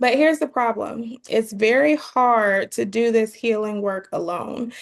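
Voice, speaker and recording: A woman's fairly high voice, fairly slow in pace, with fairly even intonation. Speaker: life coach. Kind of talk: webinar training.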